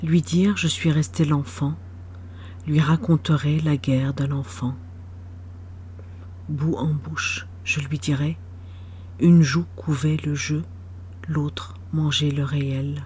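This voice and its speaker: Very slow, with long, frequent pauses, the voice has vocal fry and very wide pitch swings. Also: woman. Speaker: poet. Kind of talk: poetry reading.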